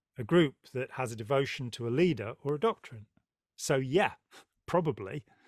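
A man at medium pitch and moderate pace, with ordinary pitch variation and dry, close sound, no echo. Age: 60s. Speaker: podcast host. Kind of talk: interview conversation.

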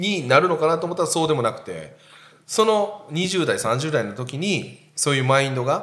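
Audible room echo surrounds a man speaking at a moderate pace. His fairly high voice moves in very wide pitch swings. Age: 40s. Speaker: podcast host. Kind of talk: casual chat.

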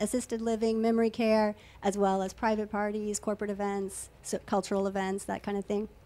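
This woman has a plain, everyday voice. She speaks at a medium pitch and a moderate pace. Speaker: belly dancer. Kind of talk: casual chat. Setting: studio.

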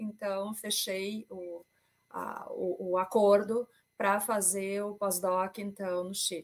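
A woman speaks with big swings in loudness. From Brazil. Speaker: intellectual property and data protection consultant. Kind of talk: presentation with slides in a panel discussion.

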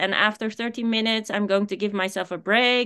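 A woman speaks in a bright, sharp tone at a fairly high pitch. The background is quiet. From Netherlands. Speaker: life coach and consultant. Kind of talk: interview.

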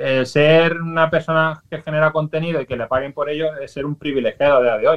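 A man with an ordinary speaking voice, fairly high in pitch, at a fairly quick pace with fairly even intonation. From Valencia, Spain. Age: 40s. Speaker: social media influencer. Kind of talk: radio interview.

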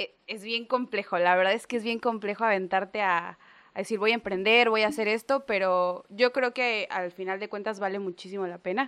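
A woman with an ordinary speaking voice, medium pitch, fairly even intonation and a fairly quick pace against a quiet background. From Mexico, Gulf coast island area. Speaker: chef and restaurant owner. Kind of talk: casual interview chat.

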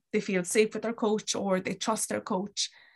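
Monotone, flat intonation from a woman at medium pitch. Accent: Kerry. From Ireland, County Kerry. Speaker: sport psychology graduate and rugby coach. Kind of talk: casual interview.

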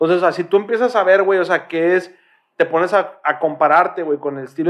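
A man's speech comes very fast, with ordinary pitch variation, over a quiet background. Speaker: podcast co-host. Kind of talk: casual chat.

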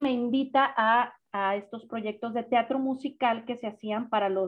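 Speaking fairly slowly, a woman uses an unremarkable speaking voice, fairly high in pitch, with ordinary pitch variation. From Guadalajara, Mexico. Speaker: singer-songwriter and vocal coach. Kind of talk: casual interview.

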